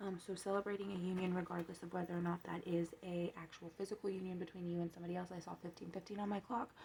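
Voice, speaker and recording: Talking at a very fast pace with hardly any pauses, a woman has a fairly low pitch, a dark, mellow tone, a somewhat breathy sound, and monotone, flat intonation. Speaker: tarot card reader. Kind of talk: tarot reading monologue. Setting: home, seated with coffee.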